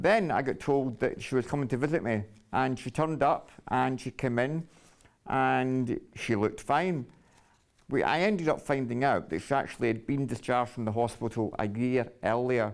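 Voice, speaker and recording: A man with a Glasgow accent talks at a moderate pace and medium pitch, with ordinary pitch variation. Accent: Scottish, Glasgow. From Scotland, Glasgow. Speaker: storyteller sharing life story. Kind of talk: personal testimony. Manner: halting.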